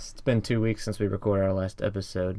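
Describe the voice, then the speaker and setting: The recording is very clean, its background silent. A man's fairly low voice shows ordinary pitch variation. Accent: American. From US South. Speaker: podcast host. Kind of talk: casual chat. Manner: drops g's.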